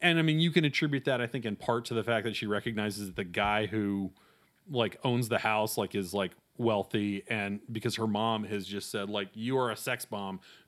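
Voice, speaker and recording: On a very clean recording with a silent background, a man with an American accent uses a normal speaking voice, fairly low in pitch, at a moderate pace. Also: ordinary pitch variation. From US South, North Carolina. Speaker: film journalist and critic. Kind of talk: casual conversation.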